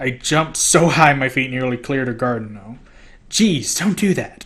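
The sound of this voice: Lively intonation fills an unforced reading voice.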